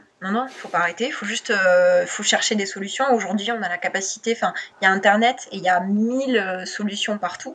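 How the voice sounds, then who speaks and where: A woman speaks at a fairly quick pace in a medium pitch, with ordinary pitch variation and noticeable background noise. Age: 20s. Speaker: copywriter. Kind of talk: interview.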